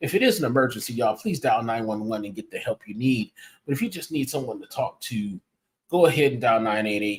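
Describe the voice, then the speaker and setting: Somewhat breathy, a man speaks at a medium pitch. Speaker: podcast host. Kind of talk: casual livestream podcast. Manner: monotone.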